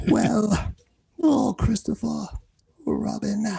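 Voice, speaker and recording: A put-on character voice, gravelly and fairly high in pitch. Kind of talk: falsetto. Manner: yawning, sleepy.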